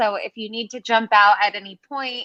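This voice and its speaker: In an American accent, a woman projects a raised voice with a bright, sharp tone at a fairly slow pace, the sound dry and close with no echo. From United States. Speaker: webinar host. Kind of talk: live interview.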